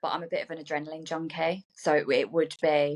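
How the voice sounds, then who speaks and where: Against a quiet background, a woman with a very deep, low pitch talks at a fairly quick pace. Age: 30s. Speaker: aviation worker, podcast guest. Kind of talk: casual chat.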